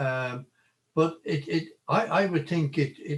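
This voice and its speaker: Somewhat breathy and very slow, a man speaks with an Irish accent and ordinary pitch variation. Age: 80s+. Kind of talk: interview. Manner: halting.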